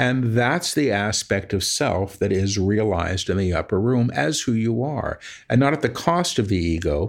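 A man with an ordinary speaking voice talks at a moderate pace. His intonation is lively, and the background is quiet. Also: medium pitch for a man. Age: 50s. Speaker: spiritual medium and author. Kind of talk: interview conversation.

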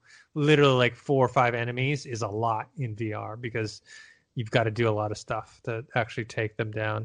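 A plain, everyday voice at a fairly quick pace, fairly even in intonation, over a quiet background. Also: man. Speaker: podcast host. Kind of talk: casual chat.

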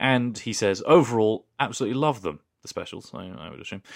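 A man with a British accent, medium pitch and very fast delivery, in a very clean recording with a silent background. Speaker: podcast co-host. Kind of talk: casual chat. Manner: jokey.

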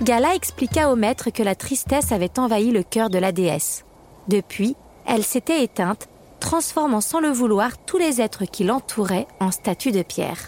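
A woman's plain, everyday voice, fairly high in pitch, with lively intonation, very even loudness and a fairly slow pace in a dry, close sound with no echo. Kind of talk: fairy-tale audiobook narration. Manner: storyteller's warm, measured narration, shifting into playful character voices.

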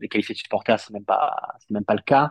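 A man talks in a fairly low pitch. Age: 30s. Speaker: football journalist. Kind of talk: casual chat.

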